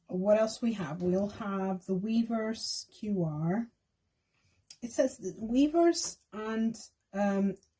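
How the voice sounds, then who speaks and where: A dark, mellow tone with lively intonation, somewhat breathy and delivered at a very slow pace. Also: woman, fairly high pitch for a woman. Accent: non-native. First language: not English. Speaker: K-pop fan vlogger. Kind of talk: casual tutorial. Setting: at home desk.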